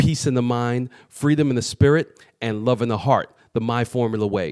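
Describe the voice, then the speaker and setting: This is an unremarkable speaking voice from a man with a medium pitch. He keeps a moderate pace and ordinary pitch variation. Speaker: podcast host. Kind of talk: show intro to camera.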